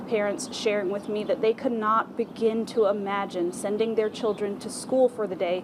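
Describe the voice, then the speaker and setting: Noticeable background noise surrounds a woman with a fairly high pitch. She talks with hardly any pauses and fairly even intonation. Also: moderate pace. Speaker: TV news reporter and anchor. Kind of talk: TV news reporting.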